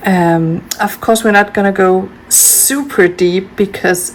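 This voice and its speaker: Over noticeable background noise, a woman speaks with a Danish accent. Her pitch is medium, with ordinary variation. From Denmark. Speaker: homeschooling parent, video creator. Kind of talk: casual tutorial. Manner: hesitant, many fillers.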